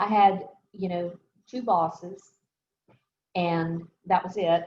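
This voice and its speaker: A woman with an American accent, somewhat breathy, at a very slow pace, with fairly even intonation and big swings in loudness. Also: fairly low pitch for a woman. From US South, New Orleans. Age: 60s. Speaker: architect. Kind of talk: interview on video call.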